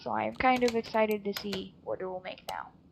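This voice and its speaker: A woman at a fairly quick pace, over noticeable background noise. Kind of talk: casual gameplay commentary.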